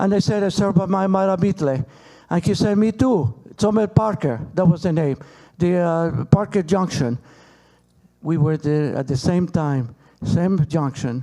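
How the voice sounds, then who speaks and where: In a Peruvian accent, a man with a fairly high pitch and a dark, mellow tone speaks at a fairly slow pace. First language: Spanish. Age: 60s. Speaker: relative of a hostage. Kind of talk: panel talk. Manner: halting.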